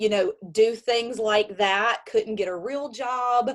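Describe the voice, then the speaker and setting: A woman speaks with an Alabama accent. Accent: Alabama Southern. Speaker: network marketing consultant and Air Force member. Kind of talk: virtual business launch presentation, personal story. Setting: video call. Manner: casual, with many fillers.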